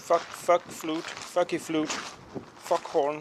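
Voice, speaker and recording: A man speaks at a fairly high pitch. Noticeable background noise sits behind him. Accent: Danish. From Denmark. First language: Danish. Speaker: boat owner, DIY maintenance YouTuber. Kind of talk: tutorial. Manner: casual, with filler hesitations.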